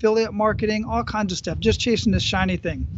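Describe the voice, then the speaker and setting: Talking at a fairly quick pace with an American accent, a man sounds dry with no echo amid noticeable background noise. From Phoenix, Arizona; Arizona. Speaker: podcast host and entrepreneur; podcast guest. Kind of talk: casual interview. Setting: video call outdoors at a beach gazebo. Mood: calm, reflective. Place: beach. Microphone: earbuds.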